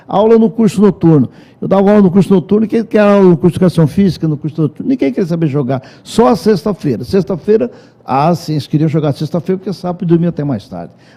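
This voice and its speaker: At a very fast pace, a man with a high pitch and a dark, mellow tone speaks with lively intonation. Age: 70s. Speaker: former football coach and PE teacher. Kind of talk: interview.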